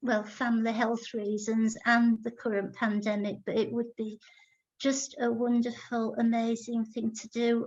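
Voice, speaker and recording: A woman with an English accent, fairly high pitch, monotone, flat intonation and a very slow pace. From Iraq and England (Baghdad childhood, moved to England 1970s). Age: 60s. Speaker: artist. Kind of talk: Q&A at online lecture.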